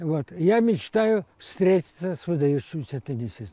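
A man speaks at a high pitch with lively intonation. The sound is dry with no echo, over a quiet background. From Ukraine. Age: 80s+. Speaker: amateur tennis player. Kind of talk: interview; interview answer. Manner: halting. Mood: warm, hopeful. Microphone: lapel.

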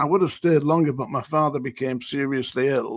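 A man speaks with a Lancashire accent and fairly even intonation. The background is quiet and the sound is dry, with no echo. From northern England. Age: 70s. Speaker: former prison officer. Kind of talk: interview.

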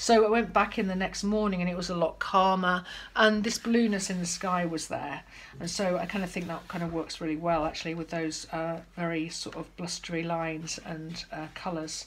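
Over light background noise, a woman speaks at a moderate pace in a fairly low pitch with fairly even intonation. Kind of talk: casual tutorial chat. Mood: calm, reflective. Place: home room. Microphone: phone near.

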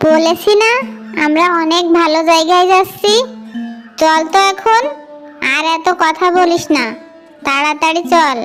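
Against clear background music, a woman performs a cartoonish character voice at an extremely high pitch and a fairly slow pace. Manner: bossy, sharp-tongued.

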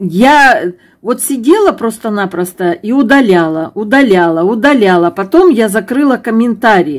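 A woman with a southern Russian accent speaks at a fairly slow pace. Her fairly high voice swings very widely in pitch. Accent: southern Russian fricative g. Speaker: knitting vlogger. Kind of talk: emotional vlog monologue. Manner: hesitant, many filler sounds. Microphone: phone near.

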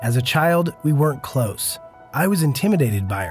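Music plays in the background as a man speaks at a moderate pace and a medium pitch. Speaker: documentary filmmaker. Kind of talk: documentary narration.

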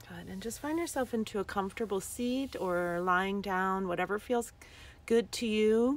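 A woman talks in a soothing tone with ordinary pitch variation, the sound dry and free of echo. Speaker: yoga teacher. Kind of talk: guided breathing meditation, live-streamed with viewers greeting in. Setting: outdoors in the desert, livestream. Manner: slow, soothing breath cues with long pauses; gently repetitive, affirming mantra-like phrasing. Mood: calm, soothing. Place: open country. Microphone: phone near.

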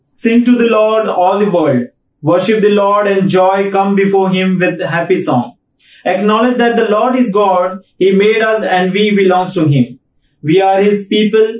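A man talks at a fairly slow pace in a high pitch, with ordinary pitch variation. His loudness stays very even, and audible room echo surrounds him. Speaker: pastor leading worship. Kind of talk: call to worship and prayer. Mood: calm, reverent. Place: home room.

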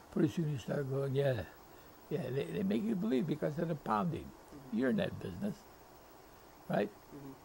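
A man's dark, mellow tone with vocal fry and very wide pitch swings, at a fairly quick pace broken by long, frequent pauses, over light background noise. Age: 80s+. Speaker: retired football coach. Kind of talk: interview answer.

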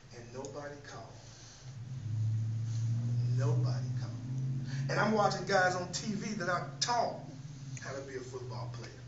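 Speech moves at a moderate pace with long, frequent pauses. Loud background noise fills the recording. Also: man. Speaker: preacher. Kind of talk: sermon testimony. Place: church. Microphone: camera far.

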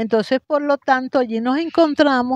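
A woman talks in a high voice with lively intonation. The sound is dry with no echo, over a quiet background. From Venezuela, Guatire (Miranda); Venezuela. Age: 70s. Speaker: rag doll artisan. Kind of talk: interview. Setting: cultural center. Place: garden. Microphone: handheld.

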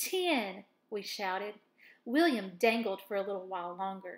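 Lively intonation in an unforced reading voice

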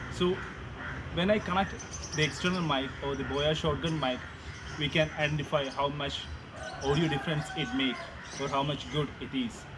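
Moderate-paced speech broken by long, frequent pauses, with noticeable background noise. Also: man. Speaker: vlogger testing a microphone. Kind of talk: tutorial. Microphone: camera far.

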